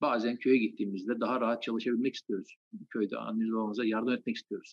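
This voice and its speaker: A man speaks at a very fast pace. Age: 40s. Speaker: anatomy lecturer. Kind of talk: interview.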